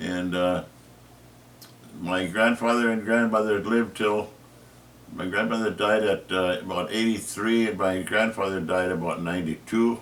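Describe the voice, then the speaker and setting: With a Minnesota accent, a man speaks at a moderate pace and a fairly low pitch. His intonation stays fairly even, broken by long, frequent pauses. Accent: Upper Midwest (Minnesota). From northern Minnesota, Iron Range. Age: 80s+. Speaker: retired teacher. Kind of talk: family history interview. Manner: halting, many fillers.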